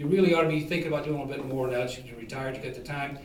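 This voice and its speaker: With noticeable background noise and audible room echo, a man talks at a fairly high pitch in a fairly even tone. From Ohio (Toledo area), born in Kentucky. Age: 60s. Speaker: political candidate, retired police chief and Marine veteran. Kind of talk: debate opening statement. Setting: public debate with audience. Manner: hesitant, many filler uhs.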